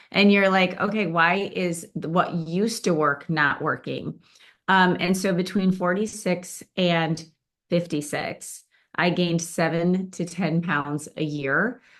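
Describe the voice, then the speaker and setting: A woman's normal speaking voice, fairly low in pitch, at a fairly slow pace with fairly even intonation over a quiet background. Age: 60s. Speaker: event speaker sharing weight-loss story. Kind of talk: testimony talk to live audience. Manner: casual, with many fillers.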